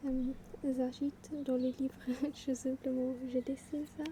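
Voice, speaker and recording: Over noticeable background noise, a soft-spoken woman talks in a high pitch with fairly even intonation. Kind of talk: ASMR soft-spoken talk to camera. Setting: outdoors.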